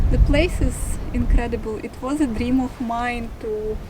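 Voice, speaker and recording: A woman with a Russian accent speaks in a high, monotone, flat voice at a very slow pace. Noticeable background noise runs underneath. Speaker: travel vlogger. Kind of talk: casual talk to camera. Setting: outdoors.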